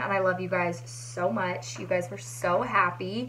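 A woman speaks at a moderate pace. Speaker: vlogger. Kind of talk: casual vlog chat. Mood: chatty, a bit frustrated. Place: home room. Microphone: phone near.

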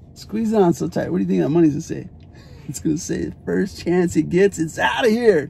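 There is light background noise as a man talks with an American accent. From Arizona, USA. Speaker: spoken word poet. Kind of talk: casual talk to camera. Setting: in a car. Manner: upbeat, friendly. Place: car. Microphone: phone near.

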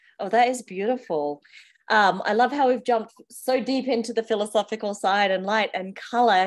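A quiet background surrounds the voice. Its pace is moderate, and its pitch variation is ordinary. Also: woman. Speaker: interviewer. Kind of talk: interview. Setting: video call. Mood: warm, cheerful, laughing. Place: home room. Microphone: video call.

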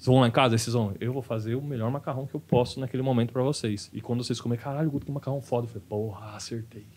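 A man at a very fast pace with hardly any pauses and fairly even intonation. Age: 30s. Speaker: stand-up comedian; podcast guest, stand-up comedian. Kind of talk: casual chat. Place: studio. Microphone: studio mic.

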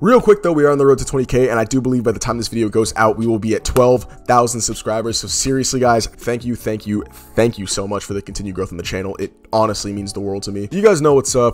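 Over faint background music, a man speaks at a very fast pace with ordinary pitch variation. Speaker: anime commentary youtuber. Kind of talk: casual vlog chat. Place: home room. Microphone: studio mic.

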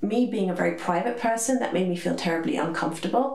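A woman talks at a fairly quick pace with ordinary pitch variation. There is audible room echo. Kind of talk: personal testimony vlog. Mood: calm, reflective, slightly somber. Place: home room.

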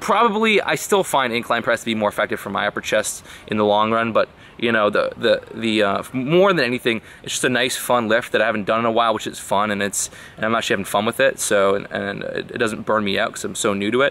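A man speaks at a very fast pace, the sound dry with no echo. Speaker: fitness vlogger. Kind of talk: casual vlog chat. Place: garden. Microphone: phone near.

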